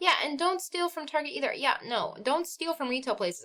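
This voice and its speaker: A woman's high, raised, projected voice with a bright, sharp tone, lively intonation, a Midwestern accent and a moderate pace. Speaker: live streamer. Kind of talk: casual chat.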